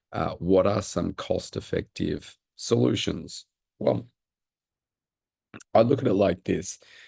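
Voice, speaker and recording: With an Australian accent, a man speaks at a very slow pace with long, frequent pauses, the sound dry and close with no echo. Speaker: personal trainer. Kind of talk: Q&A talk to camera. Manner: halting.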